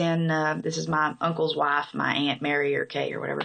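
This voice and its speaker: With a southern Illinois accent, a woman speaks at a moderate pace. Her pitch is fairly low and her tone bright and sharp. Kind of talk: casual talk to camera, accent tag. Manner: hesitant, many fillers.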